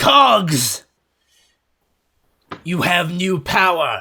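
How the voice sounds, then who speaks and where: A put-on character voice, raspy and at a middle pitch. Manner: villainous, commanding.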